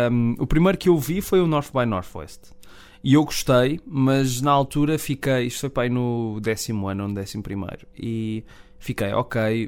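Speaking at a moderate pace with a European Portuguese accent, a man uses medium pitch and ordinary pitch variation. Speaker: film podcast co-host. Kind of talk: casual chat. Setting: radio studio.

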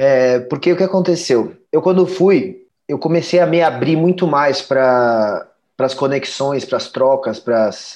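A man talks at a moderate speed, his intonation lively. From Brazil, São Paulo. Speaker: singer-songwriter. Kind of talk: interview. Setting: remote internet call. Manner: halting, many repeated words.

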